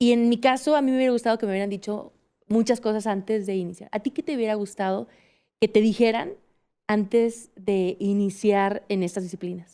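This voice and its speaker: A woman speaks at a fairly quick pace, her fairly high voice carrying a dark, mellow tone. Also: ordinary pitch variation. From Mexico, Aguascalientes. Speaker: podcast host and mountaineer. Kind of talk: interview.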